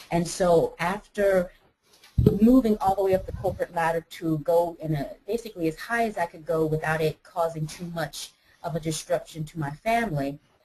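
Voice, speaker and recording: A woman speaks at a moderate pace with an American accent, using an ordinary speaking voice with fairly low pitch and ordinary pitch variation. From United States. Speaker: life coach. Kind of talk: interview. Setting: webinar.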